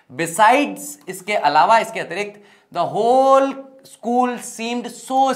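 Against a quiet background, a man talks at an extremely high pitch with lively intonation. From Rajasthan, Ajmer district; Rajasthan. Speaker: English teacher. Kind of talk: lecture. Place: classroom.

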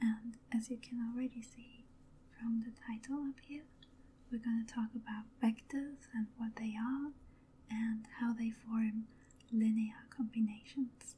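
Speech comes at a fairly slow pace. The voice is soft-spoken. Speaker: ASMR math teacher. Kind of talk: ASMR math lesson, soft-spoken teaching. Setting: studio microphone recording. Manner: soft-spoken, slow-paced. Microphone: studio mic.

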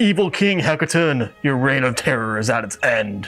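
A man at medium pitch does a put-on character voice. Faint music sits in the background. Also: moderate pace. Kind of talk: comic overacting. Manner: heroic, declamatory.

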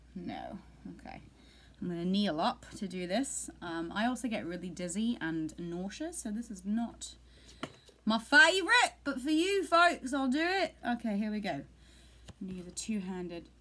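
A woman's voice jumps through very wide pitch swings and big swings in loudness. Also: moderate pace. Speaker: vlogger. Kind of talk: casual vlog chat. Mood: playful, a bit dizzy. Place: home room. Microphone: webcam.

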